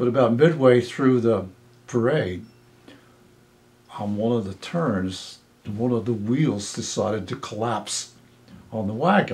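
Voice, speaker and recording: A man with an American accent speaks at a medium pitch. His voice is somewhat breathy, with ordinary pitch variation. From New Jersey. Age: 80s+. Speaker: local resident recalling history. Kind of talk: oral history interview. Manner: rambling with fillers.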